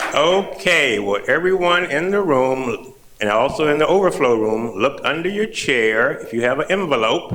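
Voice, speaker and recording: A man with a fairly high voice talks at a moderate pace with hardly any pauses, his pitch swinging very widely over noticeable background noise. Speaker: event organizer announcing door prizes. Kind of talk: event announcements. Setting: boardroom with large audience.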